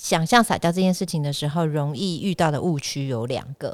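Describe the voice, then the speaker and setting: This woman has a fairly low pitch and a moderate pace, recorded very cleanly against a silent background with a dry, close sound and no echo. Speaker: podcast host. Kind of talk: casual chat. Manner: animated.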